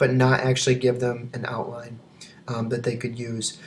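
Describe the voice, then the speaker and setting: This man's voice sits at a medium pitch. There is a somewhat breathy quality to it. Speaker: teacher. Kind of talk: video presentation. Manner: fast; hesitant with frequent fillers.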